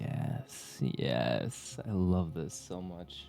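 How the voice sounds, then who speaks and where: A very slow, relaxed male voice with a very deep, low pitch over music in the background. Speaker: Twitch streamer. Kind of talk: casual livestream chat with viewers. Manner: soft, relaxed.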